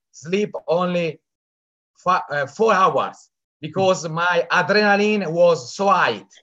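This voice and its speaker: With an Italian accent, a man talks in a high pitch with a bright, sharp tone and ordinary pitch variation. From Italy. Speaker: event attendee, business team member. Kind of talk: testimony. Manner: halting.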